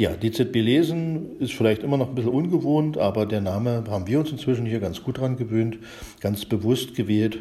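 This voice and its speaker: Medium-pitched male voice against noticeable background noise. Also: ordinary pitch variation, moderate pace. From eastern Germany, Spreewald (Brandenburg). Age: 50s. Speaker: library director, computer scientist. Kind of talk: casual chat. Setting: recorded separately via chat app. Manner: halting, many fillers.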